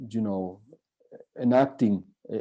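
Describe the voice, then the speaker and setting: A man with a Spanish accent, a fairly low pitch, a dark, mellow tone and ordinary pitch variation, in a very clean recording with a silent background. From Spain. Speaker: professor. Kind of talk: keynote lecture. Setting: conference. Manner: halting.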